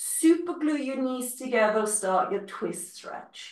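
A woman speaks at a fairly slow pace with very wide pitch swings, against a quiet background with audible room echo. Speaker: fitness instructor. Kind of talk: live-led Pilates class, giving calm step-by-step cues with breath counts. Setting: video class, recorded online. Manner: calm, encouraging, rhythmic; instructional, clear and paced to the movement. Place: home room. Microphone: video call.

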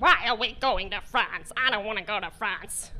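A woman uses a put-on character voice, fairly high in pitch, at a moderate pace. Clear background noise runs underneath. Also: ordinary pitch variation. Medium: stage play. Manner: whiny, stubborn, complaining.

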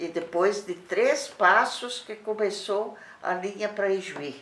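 The voice moves at a very slow pace, with audible room echo around it. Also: woman. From Rio Grande do Sul, Brazil. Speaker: company founder's widow; interviewee. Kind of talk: oral history interview. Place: home room. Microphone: camera far.

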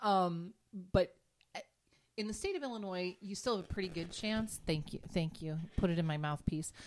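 A woman talks in a normal speaking voice at a fairly low pitch. Her pace is moderate. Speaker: podcast co-host. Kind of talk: casual chat.

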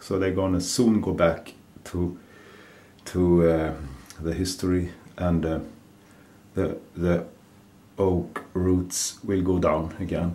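A man speaks at a very slow pace with a very deep, low pitch and a dark, mellow tone. His intonation is monotone and flat, broken by long, frequent pauses. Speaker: gardening video creator. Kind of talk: casual tutorial vlog. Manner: halting, hesitant. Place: kitchen.

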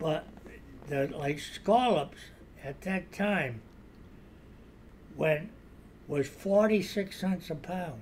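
A man speaks at a very slow pace with long, frequent pauses. His voice is high with lively intonation, over light background noise. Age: 90s. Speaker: retired fisherman. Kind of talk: interview answer, sea stories. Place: home room. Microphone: studio mic.

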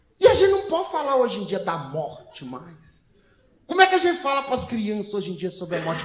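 A man's extremely high-pitched voice with very wide pitch swings, at a fairly quick pace, with audible room echo. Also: big swings in loudness. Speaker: stand-up comedian. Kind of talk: stand-up comedy set. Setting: stage with live audience. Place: stage. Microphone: handheld.

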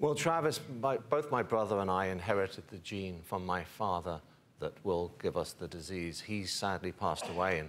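Over light background noise, a man with a very deep, low voice talks at a moderate pace with lively intonation. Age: 40s. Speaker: television journalist. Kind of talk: interview testimony. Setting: TV studio. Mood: earnest, somber. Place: studio. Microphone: lapel.

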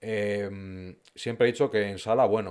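A man speaks at a fairly low pitch. The background is quiet. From Madrid, Spain; Spain. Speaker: food influencer. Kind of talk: casual interview chat. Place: studio. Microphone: studio mic.

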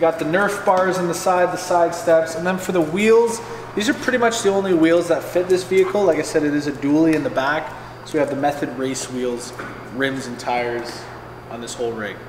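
A man's lively intonation comes through despite noticeable background noise. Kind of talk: casual tour commentary. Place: garage. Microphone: camera far.

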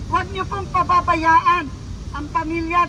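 A woman speaks in a raised, projected voice at an extremely high pitch. Noticeable background noise can be heard. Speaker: rally speaker leading prayer. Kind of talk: fervent prayer and appeal to crowd. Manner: impassioned, pleading.

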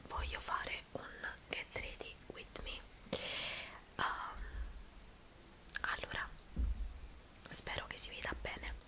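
A woman whispers very slowly, with long, frequent pauses breaking up her words. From Naples. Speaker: ASMR beauty creator. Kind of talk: ASMR makeup tutorial. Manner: whispered. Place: home room. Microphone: studio mic.

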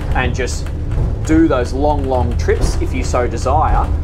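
Music in the background behind a man talking at a fairly slow pace. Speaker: boat reviewer. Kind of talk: sea trial commentary. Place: boat.

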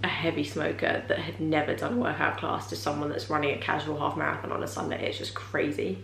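A woman speaks at a very fast pace. Audible room echo and light background noise are present. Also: hardly any pauses. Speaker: vlogger. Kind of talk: casual vlog chat. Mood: warm and reflective. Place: home room. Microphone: camera far.

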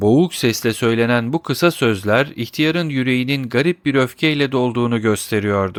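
An unforced reading voice delivers the words.

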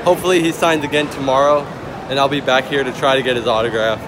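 A man is speaking with music in the background. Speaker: fan vlogger. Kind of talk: casual vlog chat. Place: stadium. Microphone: phone near.

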